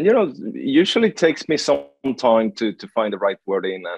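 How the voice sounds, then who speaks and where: Recorded dry and close with no echo, a man with a non-native accent speaks at a moderate pace. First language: not English. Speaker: enterprise sales director. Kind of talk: podcast interview. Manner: halting, many fillers and repetitions.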